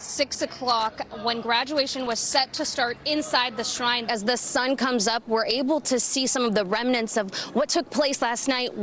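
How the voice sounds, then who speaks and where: Noticeable background noise sits behind a woman's voice. She talks at a moderate pace in a high pitch. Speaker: TV news reporter. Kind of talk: live field news report.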